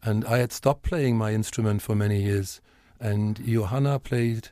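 Against a silent background on a very clean recording, a man talks at a fairly low pitch. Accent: German. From Germany, Westphalia. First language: German. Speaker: teacher. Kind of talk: casual chat.

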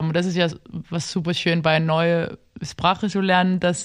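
Against a quiet background, a woman talks at a fairly quick pace. Her fairly low pitch stays monotone and flat. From Denmark, Copenhagen. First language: Danish (speaking German). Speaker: literary translator. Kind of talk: casual interview. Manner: halting.

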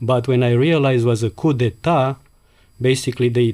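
On a very clean recording with a silent background, a man with a Romanian accent speaks at a moderate pace with fairly even intonation. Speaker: immigrant, former waiter. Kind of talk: personal storytelling interview.

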